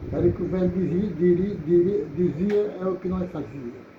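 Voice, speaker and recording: A man talks at a moderate pace while noticeable background noise continues. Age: 80s+. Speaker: accordion player. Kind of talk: storytelling about his youth.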